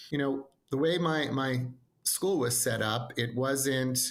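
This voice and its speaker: This is a man speaking. He has an American accent. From New York, Long Island (Nassau-Queens border). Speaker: educational consultant. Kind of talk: podcast interview.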